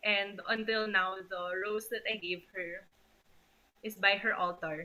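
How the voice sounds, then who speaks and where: A soft-spoken woman's voice, medium in pitch, at a fairly slow pace. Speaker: family member giving a eulogy. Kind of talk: eulogy. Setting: video call.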